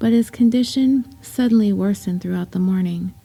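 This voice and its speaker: At a moderate pace, a woman speaks at medium pitch in a somewhat breathy voice. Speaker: podcast host. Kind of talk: true story podcast narration.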